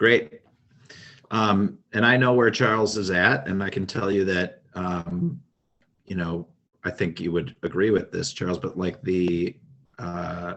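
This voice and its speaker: A man with a very deep, low voice and an Upper Midwest accent talks at a fairly slow pace, using ordinary pitch variation and taking long, frequent pauses. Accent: Upper Midwest American. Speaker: project coordinator. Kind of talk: online meeting moderation. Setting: video call.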